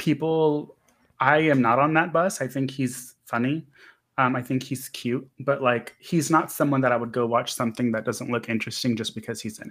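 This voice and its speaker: This man has a plain, everyday voice at a medium pitch, with fairly even intonation and a moderate pace. His loudness swings widely, and the recording is very clean with a silent background. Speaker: horror podcast host. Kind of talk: casual chat.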